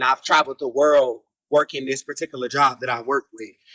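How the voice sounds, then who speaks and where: With an American accent, a man with a fairly high pitch and a bright, sharp tone speaks in a dry, close sound with no echo. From US South, Jacksonville, Florida. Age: 20s. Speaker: reality TV personality. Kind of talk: interview. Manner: relaxed, many fillers.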